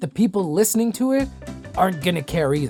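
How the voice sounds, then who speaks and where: Music sits behind the voice. The woman's pitch swings very widely. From Saskatchewan, Canada. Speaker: voice actor. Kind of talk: voice-over tutorial talk to camera. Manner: casual, relaxed.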